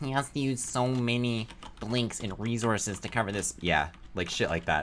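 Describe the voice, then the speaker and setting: A man speaks at a moderate pace in a fairly low pitch. His tone is bright and sharp. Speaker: streamer reviewing game footage. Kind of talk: casual live stream commentary. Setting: live stream. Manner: casual, filler-heavy.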